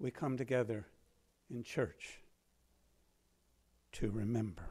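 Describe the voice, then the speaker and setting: A man talks at a fairly slow pace. His tone is dark, mellow and somewhat breathy. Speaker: minister. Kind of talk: sermon. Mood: warm, heartfelt welcome. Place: church. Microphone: podium.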